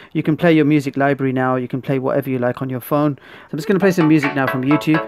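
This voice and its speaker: A man talks very fast with fairly even intonation as music plays in the background. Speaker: product reviewer. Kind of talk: product review tutorial. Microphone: phone near.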